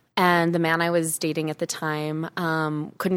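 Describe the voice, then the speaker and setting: In an American accent, a woman with an ordinary speaking voice and a fairly low pitch talks at a moderate pace on a very clean recording with a silent background. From US Midwest, Chicago. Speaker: naturopathic doctor. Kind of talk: interview. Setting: studio.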